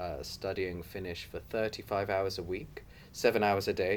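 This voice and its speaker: A man with a southern English accent speaks at a moderate pace, his fairly low voice keeping a fairly even intonation. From southwest England, Torquay. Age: 30s. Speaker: migrant interviewee. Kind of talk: interview.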